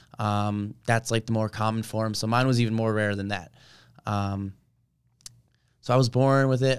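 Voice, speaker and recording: In a very clean recording with a silent background, a man with an unremarkable speaking voice talks at a medium pitch and a moderate pace, his intonation fairly even. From New Jersey (Colonia). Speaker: college wrestler. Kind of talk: casual interview. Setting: studio.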